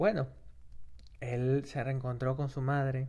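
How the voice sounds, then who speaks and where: The man's voice rests at a medium pitch. He speaks very slowly. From Peru. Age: 30s. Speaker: history podcaster and master's student. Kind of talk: casual educational podcast narration. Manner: halting, with many fillers and self-corrections.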